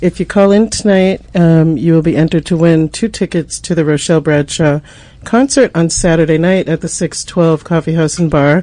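With an American accent, the speaker keeps a moderate pace and very even loudness over noticeable background noise. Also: woman, fairly low pitch for a woman, ordinary pitch variation. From Boston. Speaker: community radio host. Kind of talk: casual radio chat and interview. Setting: radio studio.

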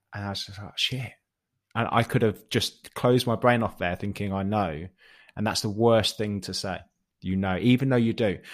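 A man with a British accent, fairly low in pitch, fairly even in intonation and moderate in pace, on a very clean recording with a silent background. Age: 30s. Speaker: fitness coach. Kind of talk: casual chat.

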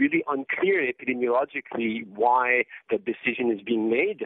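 Moderate pace and ordinary pitch variation in a man's plain, everyday voice, medium in pitch. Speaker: psychiatry professor. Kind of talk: interview.

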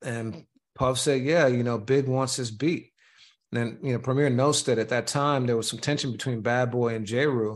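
A man with an ordinary speaking voice, medium in pitch, with fairly even intonation, against a quiet background. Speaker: podcast host and media company founder. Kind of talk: casual chat.

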